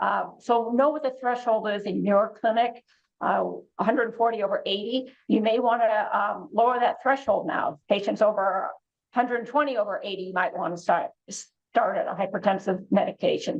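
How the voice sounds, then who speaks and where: A woman's fairly high pitch with ordinary variation. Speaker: oncology clinician educator. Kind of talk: continuing medical education presentation. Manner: fast.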